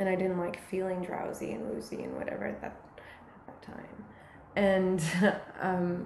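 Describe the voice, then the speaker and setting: A woman at a fairly slow pace with fairly even intonation, plus noticeable background noise and audible room echo. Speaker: musician. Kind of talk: casual interview chat. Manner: halting, many fillers and restarts.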